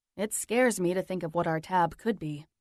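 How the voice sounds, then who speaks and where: A put-on character voice, female-sounding and growling, at medium pitch. The pace is fairly quick. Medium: read story.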